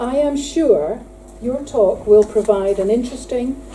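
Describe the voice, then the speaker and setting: A woman speaks at a moderate pace with ordinary pitch variation, with audible room echo and noticeable background noise. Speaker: prison inspector. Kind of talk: conference speech. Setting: conference hall with audience.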